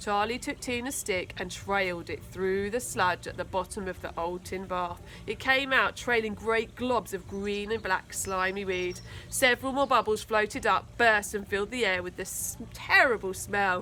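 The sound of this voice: A woman's bright, sharp voice at a moderate pace, with ordinary pitch variation. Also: medium pitch for a woman.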